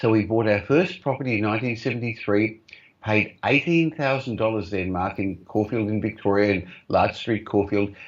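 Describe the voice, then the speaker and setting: A man talks at a moderate pace in an Australian accent, his pitch fairly low. His pitch varies in an ordinary way, and the background is quiet. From Australia, Melbourne, migrant family. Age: 60s. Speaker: property investor and company executive. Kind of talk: interview. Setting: video call.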